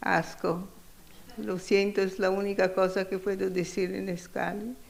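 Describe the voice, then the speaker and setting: With a strong Italian accent, a medium-pitched woman speaks in a monotone, flat way amid noticeable background noise and audible room echo. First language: Italian (speaking Spanish). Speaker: feminist economist, keynote speaker. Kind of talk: conference keynote lecture. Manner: halting, searching for words.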